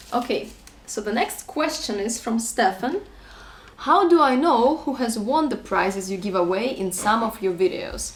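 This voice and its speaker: Lively intonation in a Russian accent over noticeable background noise. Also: woman, fairly high pitch for a woman, moderate pace. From Russia, then French-speaking Switzerland. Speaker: vlogger. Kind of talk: casual Q&A chat.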